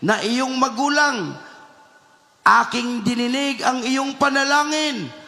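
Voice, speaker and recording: A man speaks in a raised, projected voice at an extremely high pitch with ordinary pitch variation and a fairly slow pace. Noticeable background noise sits behind him. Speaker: church preacher. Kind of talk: sermon preaching.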